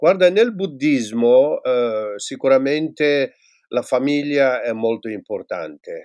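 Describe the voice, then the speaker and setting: A man with a fairly high pitch speaks at a very slow pace. The sound is dry and close with no echo, over a quiet background. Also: lively intonation. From Tibet. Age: 60s. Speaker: former Buddhist monk and teacher. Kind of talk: interview. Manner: halting.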